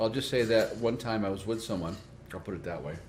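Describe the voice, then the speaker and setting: Audible room echo surrounds a man talking at a fairly quick pace in a medium pitch. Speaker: podcast host. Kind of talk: casual chat. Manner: fast.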